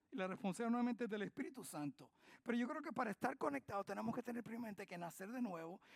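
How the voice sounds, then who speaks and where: A man speaks very fast in a high voice with an animated tone. The sound is dry and close, with no echo. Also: lively intonation. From Spain. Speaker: pastor. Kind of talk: sermon. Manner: animated, call-and-response questions.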